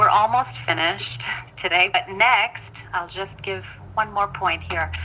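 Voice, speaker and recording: Behind a woman speaking at a very slow pace, noticeable background noise can be heard. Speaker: spiritual teacher. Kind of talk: lecture.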